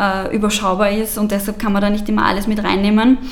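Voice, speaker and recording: Speech comes at a fairly quick pace with noticeable background noise and audible room echo. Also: woman. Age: 20s. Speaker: youth party politician. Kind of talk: interview.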